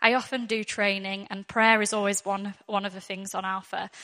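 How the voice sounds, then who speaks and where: Bright and sharp in tone, a woman of medium pitch speaks in a northwest English accent at a moderate pace with monotone, flat intonation. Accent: northwest English, fairly thick. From northwest England. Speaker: church Alpha course worker and speaker. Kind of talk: church talk with testimony and prayer. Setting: church with audience.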